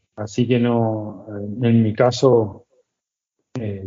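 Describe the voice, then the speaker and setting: The voice belongs to a man and sits at a medium pitch. It carries a monotone, flat intonation. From Argentina, Buenos Aires. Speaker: chef. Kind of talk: casual chat.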